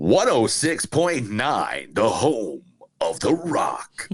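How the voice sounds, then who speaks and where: Using a put-on character voice, a man speaks very slowly in a raspy tone at a fairly high pitch. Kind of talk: station ID announcer.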